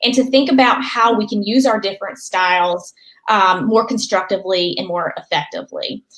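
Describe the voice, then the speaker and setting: Speaking at a moderate pace, a woman with a Southern US accent has a fairly high pitch. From North Carolina. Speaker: political strategist, author. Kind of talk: interview answer.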